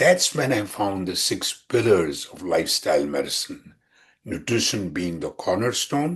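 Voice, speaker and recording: A somewhat breathy man's voice at a fairly slow pace, with very wide pitch swings over a quiet background. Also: fairly low pitch for a man. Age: 70s. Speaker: physician and heart disease survivor athlete. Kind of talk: interview. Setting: podcast interview.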